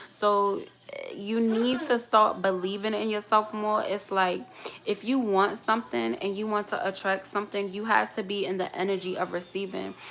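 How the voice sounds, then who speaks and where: A woman's medium-pitched voice with an American accent, over noticeable background noise. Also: ordinary pitch variation, moderate pace. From New York, schooled in Baltimore. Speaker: tarot reader. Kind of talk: live tarot reading stream. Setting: livestream. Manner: casual, conversational.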